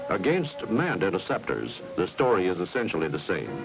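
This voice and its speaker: A man speaks with an American accent and very wide pitch swings. Music plays in the background. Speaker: narrator. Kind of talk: promotional film narration.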